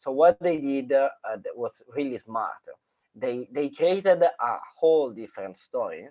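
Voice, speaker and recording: A man speaks with a strong Sicilian accent in a fairly high pitch. His pace is fairly slow and his intonation is lively. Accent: strong Sicilian Italian. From Sicily, Italy. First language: Italian. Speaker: filmmaker. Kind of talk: casual chat. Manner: halting, many fillers.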